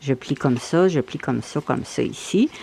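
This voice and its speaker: A woman is speaking. Her pace is fairly slow. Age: 70s. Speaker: bird feeder crafter. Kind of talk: DIY tutorial talk. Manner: casual, explanatory.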